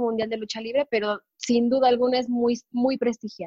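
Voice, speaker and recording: Her pitch high, a woman with a Mexican accent speaks at a fairly slow pace. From Mexico. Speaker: wrestling correspondent. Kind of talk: casual chat.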